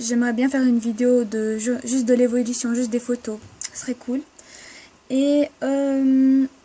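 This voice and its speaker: Noticeable background noise sits behind a woman's high voice. She speaks fairly slowly and monotonously, with long, frequent pauses. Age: 20s. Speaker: vlogger. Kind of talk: casual vlog Q&A. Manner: halting, hesitant.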